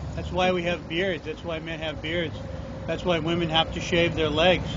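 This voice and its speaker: Through noticeable background noise and audible room echo, a man with a high pitch speaks at a moderate pace in a monotone, flat intonation. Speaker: podcast host. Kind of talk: casual chat.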